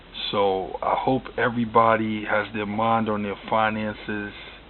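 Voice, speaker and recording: Monotone and flat, a man's fairly low voice comes through noticeable background noise. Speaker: auto mechanic YouTuber. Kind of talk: casual vlog talk.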